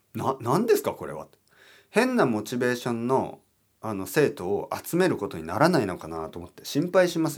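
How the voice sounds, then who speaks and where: A man speaks at a medium pitch with very wide pitch swings, big shifts in loudness and vocal fry, at a fairly quick pace. The recording is very clean, with a silent background. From Japan, Oita. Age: 40s. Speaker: Japanese teacher podcaster. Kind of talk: casual solo talk for learners.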